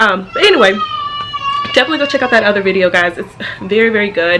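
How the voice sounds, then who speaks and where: Noticeable background noise runs under a woman who talks at a very fast pace. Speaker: family vlogger, mother of twins. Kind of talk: casual vlog chat. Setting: at home. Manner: loud; chatty, many fillers.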